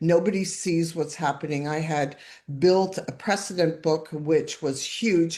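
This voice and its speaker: With a Canadian accent, a woman talks at a moderate pace in a very deep, low pitch, her intonation fairly even. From Canada, Toronto. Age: 60s. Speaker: divorce survivor guest. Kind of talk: testimony. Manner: halting.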